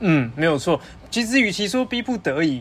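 A man with a fairly high voice speaks at a moderate pace, his pitch swinging very widely. Noticeable background noise runs underneath. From Taiwan. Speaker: PhD student. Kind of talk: casual chat.

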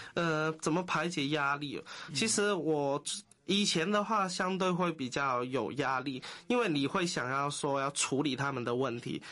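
Pitched fairly high, a man speaks in a bright, sharp tone with ordinary pitch variation. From Hong Kong. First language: Cantonese (speaking Chinese). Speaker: social worker. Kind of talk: interview.

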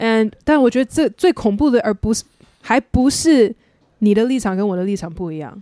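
A woman's fairly high voice has a dark, mellow tone, recorded dry and close with no echo. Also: lively intonation, moderate pace. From USA (Taiwanese-American). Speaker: podcast host. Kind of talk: casual chat. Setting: host's home.

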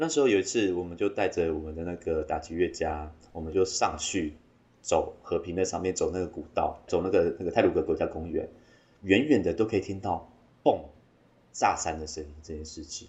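A man speaking at a fairly quick pace, with big swings in loudness. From Taiwan, Taitung (Amis). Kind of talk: interview.

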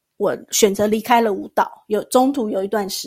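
Speaking at a moderate pace, a woman uses a fairly high pitch with a Taiwanese accent. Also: very clean recording, silent background. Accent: Taiwanese Mandarin. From Taiwan, Tainan. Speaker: dancer and massage therapist. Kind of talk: interview.

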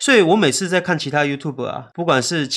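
A man is speaking. The background is quiet. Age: 30s. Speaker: YouTuber and illustrator. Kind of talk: casual chat.

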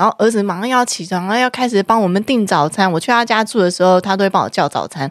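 The recording is very clean, with a silent background. A woman speaks very fast at a medium pitch, her pitch varying in an ordinary way. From Taiwan, Taipei (Zhonghe/Yonghe). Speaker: podcast host. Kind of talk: casual chat.

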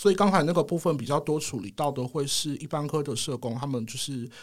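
With an unremarkable speaking voice, a man talks at a fairly quick pace and fairly high pitch, showing ordinary pitch variation on a very clean recording with a silent background. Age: 30s. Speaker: hospital psychiatric social worker. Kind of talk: casual interview chat.

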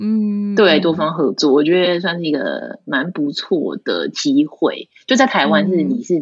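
This woman talks at a fairly slow pace in a fairly low pitch, with very wide pitch swings and hardly any pauses. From Taiwan. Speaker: florist. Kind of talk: interview.

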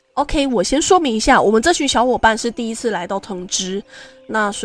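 Over music in the background, the speech moves at a fairly quick pace with lively intonation. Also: woman. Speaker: podcast host. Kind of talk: personal storytelling monologue. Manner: casual, many fillers.

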